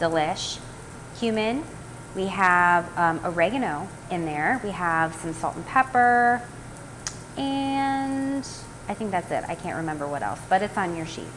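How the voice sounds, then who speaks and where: With long, frequent pauses, a woman speaks at a fairly slow pace in a fairly low pitch, her intonation lively over light background noise. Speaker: cooking demo host. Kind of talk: tutorial. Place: kitchen. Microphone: phone near.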